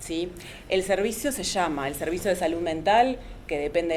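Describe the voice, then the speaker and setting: A woman's fairly low voice at a fairly quick pace. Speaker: psychologist and antiracist activist. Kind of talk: panel talk. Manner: fast.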